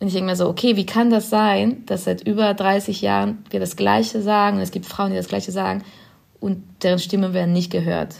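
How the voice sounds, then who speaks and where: A woman speaks at a fairly quick pace with a Spanish accent. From Spain. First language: Spanish (speaking German). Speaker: film director. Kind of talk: podcast interview.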